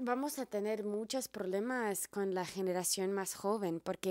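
A woman with an American accent speaks with ordinary pitch variation, the sound dry with no echo and the background quiet. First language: English (speaking Spanish). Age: 30s. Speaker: herbalist and video blogger; wellness content creator. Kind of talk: monologue to camera. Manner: halting, repeats words. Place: home room. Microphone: handheld.

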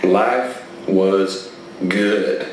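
A man talks in a room with audible echo, light background noise present. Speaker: storyteller performer. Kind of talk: storytelling performance. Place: stage. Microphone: camera far.

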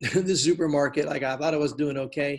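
Over a quiet background, a man with a fairly high pitch speaks at a moderate pace. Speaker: pastor. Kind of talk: online class interview. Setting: video call. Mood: warm, affirming. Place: home room. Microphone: video call.

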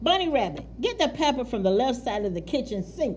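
Put-on character voice, fairly high and growling, at a fairly quick pace over clear background noise

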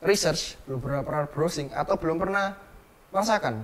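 A man with a fairly high pitch and a Javanese accent. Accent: Javanese-accented Indonesian (medok). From Surabaya, East Java; East Java. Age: young. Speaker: entrepreneur; interviewee. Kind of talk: interview. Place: home room.

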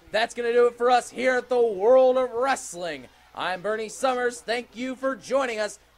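A man speaks in an animated, dramatic tone at an extremely high pitch. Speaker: wrestling commentator. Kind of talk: live wrestling commentary. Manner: animated, exclaiming with dramatic emphasis.

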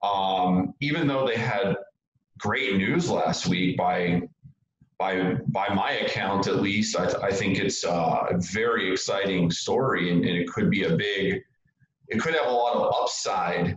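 A man speaks at a fairly slow pace with very even loudness, and audible room echo is present. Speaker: market commentator guest. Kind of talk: interview answer. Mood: relaxed, opinionated. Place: home room. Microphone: video call.

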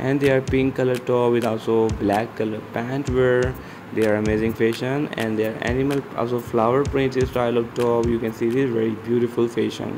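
This man speaks at a fairly quick pace with hardly any pauses, his pitch medium and his intonation flat and monotone. Noticeable background noise runs behind him. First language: not English. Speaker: fashion video narrator. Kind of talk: voiceover commentary on outfit pictures.

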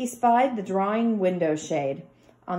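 Someone reads in an unforced way, their intonation bouncing with energy.

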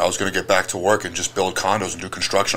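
A man talks at a very fast pace while noticeable background noise carries on behind him. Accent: American. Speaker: strongman and gym owner. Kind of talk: casual chat. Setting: studio.

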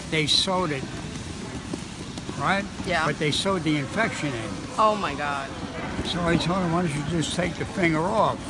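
A man at a moderate pace, with long and frequent pauses, ordinary pitch variation, a dry sound with no echo, and loud background noise. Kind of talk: interview answer. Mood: amused storytelling. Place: gym. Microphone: handheld.

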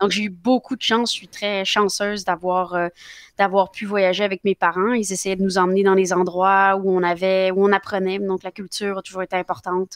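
A woman at a moderate pace in a flat monotone, with big swings in loudness, a dry sound with no echo and a quiet background. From Quebec, with early childhood in France. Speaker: politician; politician guest. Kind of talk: interview. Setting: live show. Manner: halting, many fillers. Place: home room. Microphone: headset.

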